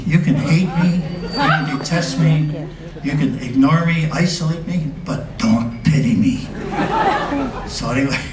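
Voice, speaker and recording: The pace is fairly slow. Noticeable background noise sits behind the voice. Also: man. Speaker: war veteran. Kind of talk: live storytelling performance.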